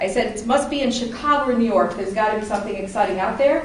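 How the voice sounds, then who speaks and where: A woman with an American accent speaks at a high pitch in an animated tone, with ordinary pitch variation. Noticeable background noise and audible room echo surround her. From Dayton, Ohio, of Appalachian Kentucky family. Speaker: public speaking club member. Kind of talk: prepared speech to a club audience. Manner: conversational, animated.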